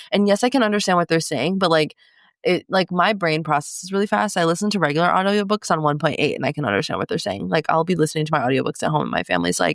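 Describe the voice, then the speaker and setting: A woman with a fairly low pitch speaks at a very fast pace in an animated tone, her lively intonation touched with vocal fry, on a very clean recording with a silent background and a dry, close sound with no echo. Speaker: book podcast co-host. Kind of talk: casual chat.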